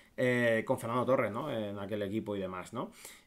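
This is a male speaker. He talks fairly quickly. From Spain. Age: 30s. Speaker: football YouTuber and streamer; football YouTuber, streamer. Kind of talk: casual livestream commentary. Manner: animated. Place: home room.

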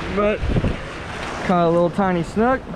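The pace of speech is moderate. There is noticeable noise in the background. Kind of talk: casual fishing vlog chat. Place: waterside. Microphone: phone near.

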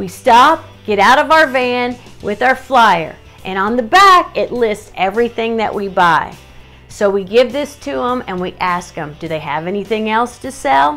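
At a fairly slow pace, a woman speaks with faint music in the background. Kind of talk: tutorial. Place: home room. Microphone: phone near.

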